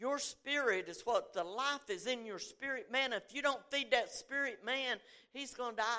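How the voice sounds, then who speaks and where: A woman's high-pitched, raised, projected voice, bright and sharp in tone, at a moderate pace. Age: 70s. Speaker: preacher. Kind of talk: sermon. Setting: church with audience.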